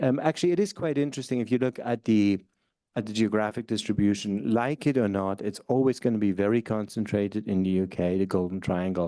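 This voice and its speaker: A man speaks at a fairly quick pace in a dark, mellow tone. His pitch sits fairly low. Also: quiet background. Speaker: professor, keynote speaker. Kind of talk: conference keynote lecture. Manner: fast; hesitant, many fillers.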